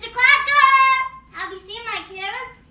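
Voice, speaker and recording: A female-sounding put-on character voice, squeaky and extremely high-pitched, speaks at a fairly slow pace. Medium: comedy sketch.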